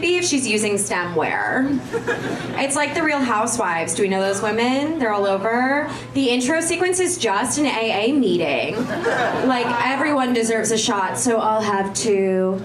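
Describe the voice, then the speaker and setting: A woman speaks at a high pitch, her voice making very wide pitch swings. Background noise is noticeable throughout. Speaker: comedian. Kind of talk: stand-up comedy set, bantering with crowd and riffing on dating, parents and drinking. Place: stage.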